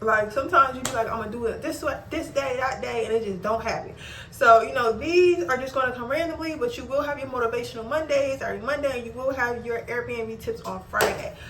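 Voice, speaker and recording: Speaking at a very fast pace with hardly any pauses, a woman uses a high pitch and ordinary pitch variation, with audible room echo around her. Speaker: small business owner and content creator. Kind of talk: casual vlog tutorial. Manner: casual, repetitive.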